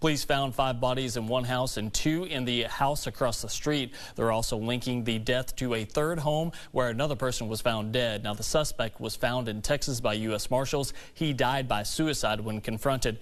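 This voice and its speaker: The man has an ordinary speaking voice at a medium pitch. He keeps a moderate pace with fairly even intonation. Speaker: news anchor. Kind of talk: TV news read.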